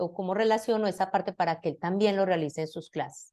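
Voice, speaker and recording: A woman's dark, mellow tone with ordinary pitch variation against a quiet background. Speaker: university lecturer in science education. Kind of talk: lecture.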